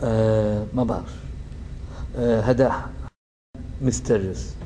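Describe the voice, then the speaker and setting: A man's very slow, fairly low-pitched speech in a Libyan accent, with ordinary pitch variation. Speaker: community association president. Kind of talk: interview answer.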